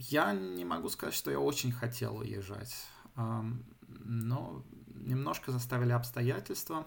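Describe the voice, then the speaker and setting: A man with a somewhat breathy, medium-pitched voice speaks fairly slowly, leaving long, frequent pauses. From St Petersburg, Russia, moved to Germany at 13. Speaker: software developer. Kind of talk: casual interview. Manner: halting, many fillers.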